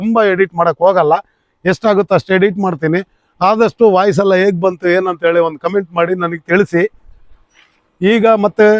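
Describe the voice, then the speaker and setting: A man with a high pitch speaks with fairly even intonation. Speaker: travel vlogger. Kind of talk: vlog. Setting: outdoors, on a motorbike. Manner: loud. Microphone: wireless clip-on mic to phone.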